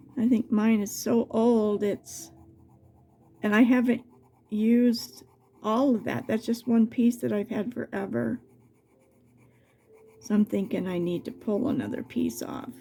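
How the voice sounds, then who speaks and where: A woman's fairly high, somewhat breathy voice with a dark, mellow tone, at a fairly slow pace with long, frequent pauses. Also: fairly even intonation. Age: 70s. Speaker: crafts video creator. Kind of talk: tutorial. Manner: halting.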